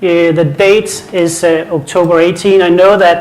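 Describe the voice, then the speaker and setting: Here a man speaks with a Danish accent at a moderate pace and a high pitch. His intonation is fairly even, with noticeable background noise and audible room echo. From Denmark. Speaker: IT conference speaker. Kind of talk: conference presentation. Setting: stage with audience.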